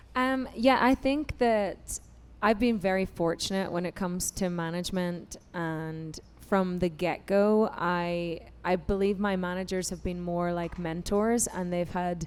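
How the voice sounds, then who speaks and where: A woman with an Irish accent, fairly low in pitch, at a fairly slow pace. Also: ordinary pitch variation. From Ireland. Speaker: singer and founder of a women's music organization. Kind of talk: panel discussion. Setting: stage with audience. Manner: animated.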